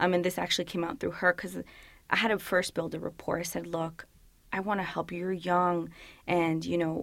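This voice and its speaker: Through a very clean recording with a silent background, a woman speaks fairly quickly at a fairly low pitch, with vocal fry. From Woodbridge, northern Virginia, US. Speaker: police officer. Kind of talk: interview. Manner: casual, filler-heavy.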